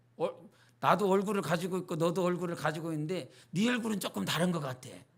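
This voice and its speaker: Audible room echo follows a man talking at a fairly quick pace with a high pitch. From rural North Jeolla, Korea, then Seoul from age 11. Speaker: pastor. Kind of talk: sermon. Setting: church Wednesday service. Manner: animated, conversational preaching.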